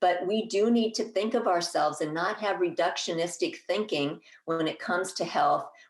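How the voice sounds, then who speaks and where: With hardly any pauses, a woman at medium pitch talks at a moderate pace and with ordinary pitch variation. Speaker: herbalist and master gardener speaking at a conference. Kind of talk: conference talk. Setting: conference presentation. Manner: halting, with fillers and restarts.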